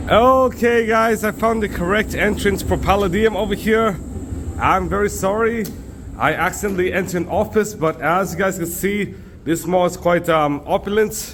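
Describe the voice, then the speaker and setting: Noticeable background noise sits behind a man with a high pitch. He speaks at a moderate pace with fairly even intonation. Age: 20s. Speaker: travel vlogger. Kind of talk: travel vlog narration. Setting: walking around the city. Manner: casual, filler-heavy (um, uh, like).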